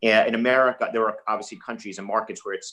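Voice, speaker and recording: Music plays in the background as a man talks in a New York accent. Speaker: investor. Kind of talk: webinar panel discussion.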